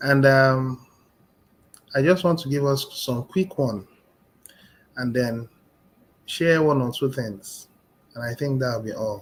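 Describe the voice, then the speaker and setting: At a very slow pace with long, frequent pauses, a man speaks at medium pitch in a somewhat breathy voice, his pitch variation ordinary. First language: not English. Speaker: motivational speaker. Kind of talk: motivational talk.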